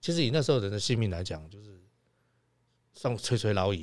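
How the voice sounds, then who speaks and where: Lively intonation marks this man's speech at a medium pitch. He talks at a fairly quick pace. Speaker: podcast co-host. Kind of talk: casual chat.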